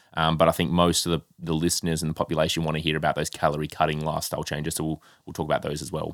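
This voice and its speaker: With a very deep, low pitch, a man talks at a very fast pace with hardly any pauses on a very clean recording with a silent background. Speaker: health coach and podcast co-host. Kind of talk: casual chat. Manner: animated.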